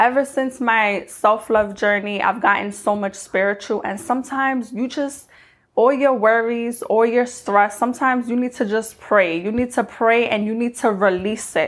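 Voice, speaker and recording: With an ordinary speaking voice, a woman talks at a moderate pace in a fairly high pitch. Her intonation stays fairly even, with hardly any pauses. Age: 20s. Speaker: lifestyle podcaster. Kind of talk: motivational monologue.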